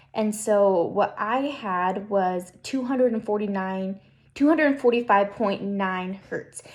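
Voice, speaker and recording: A woman with an ordinary speaking voice talks at a fairly slow pace in a medium pitch, with ordinary pitch variation. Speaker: student presenting a class assignment. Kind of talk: tutorial.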